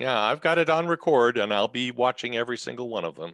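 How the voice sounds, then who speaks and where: An ordinary speaking voice, a man with an American accent, fairly quick in pace with ordinary pitch variation, the sound dry and close with no echo over a quiet background. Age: 60s. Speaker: retired physician and board game designer. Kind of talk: casual chat.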